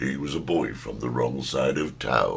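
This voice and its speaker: A man does a put-on character voice with a very deep, low pitch at a moderate pace over clear background noise. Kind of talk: dramatic trailer narration.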